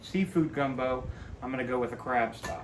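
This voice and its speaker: Noticeable background noise and audible room echo fill the recording. Through them, a man talks. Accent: American. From South Louisiana (Cajun area). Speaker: cooking channel host. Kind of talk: cooking tutorial. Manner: casual, folksy.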